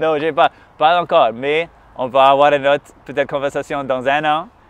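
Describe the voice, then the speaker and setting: With an English accent, a man speaks at a moderate pace. His pitch is fairly high and his intonation fairly even. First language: English (speaking French). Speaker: musician. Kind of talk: interview conversation. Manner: halting, many hesitations.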